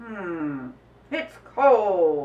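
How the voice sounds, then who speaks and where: A woman speaks in a put-on character voice at a medium pitch. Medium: read story. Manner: boastful, self-important.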